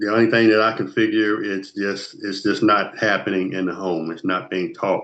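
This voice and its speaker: A man with a bright, sharp tone and fairly low pitch speaks at a moderate pace. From Ohio, Columbus. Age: 60s. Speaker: former police officer and mentor. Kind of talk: casual interview.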